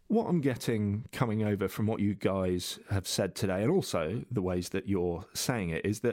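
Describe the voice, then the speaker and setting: A man with an unremarkable speaking voice talks at a moderate pace, his pitch fairly low. The pitch variation is ordinary, and the recording is very clean with a silent background. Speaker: podcast host. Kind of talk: interview.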